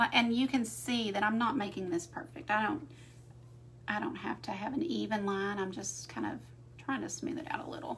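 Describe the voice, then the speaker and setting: Moderate pace with an American accent, audible room echo and noticeable background noise. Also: woman. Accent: Southern US, noticed by viewers. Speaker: art teacher. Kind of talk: live painting tutorial. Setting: livestream. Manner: casual, chatty.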